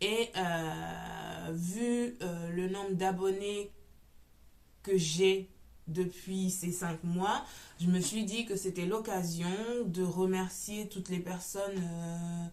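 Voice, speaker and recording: A woman's medium-pitched voice at a very slow pace, with fairly even intonation. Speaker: knitting podcaster. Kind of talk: casual chat. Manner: loud; hesitant, many fillers.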